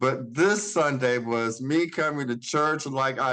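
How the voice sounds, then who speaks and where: A man talks in a normal speaking voice at a medium pitch. His pace is fairly slow and his pitch variation ordinary. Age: 60s. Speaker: congregation member sharing. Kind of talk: testimony.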